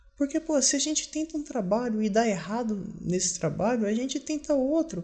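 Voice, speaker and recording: An extremely high-pitched man with a dark, mellow tone at a moderate pace. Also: lively intonation. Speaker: video diarist. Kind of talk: personal video diary monologue. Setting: at home. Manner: quiet, subdued; halting, self-correcting.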